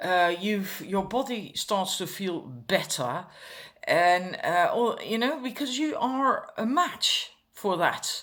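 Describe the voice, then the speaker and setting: A woman's fairly high voice, very slow, with very wide pitch swings. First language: not English. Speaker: tarot card reader. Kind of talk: pick-a-card reading. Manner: hesitant, many fillers.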